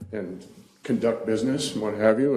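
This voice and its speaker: A man with a dark, mellow tone and fairly low pitch at a fairly quick pace, with audible room echo. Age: 70s. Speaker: council seat applicant, retiree. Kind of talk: interview. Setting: town council meeting.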